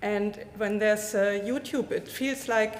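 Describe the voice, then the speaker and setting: Through noticeable background noise and audible room echo, a woman speaks at a fairly high pitch and a moderate pace with fairly even intonation. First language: German. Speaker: physicist, foundation associate. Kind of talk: conference talk, unprepared remarks. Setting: conference with live audience, streamed. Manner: halting, many fillers.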